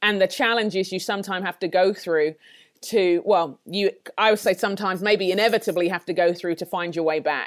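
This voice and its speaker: A woman with a London accent at a moderate pace. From England, London. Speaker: leadership trainer and author. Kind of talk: podcast interview.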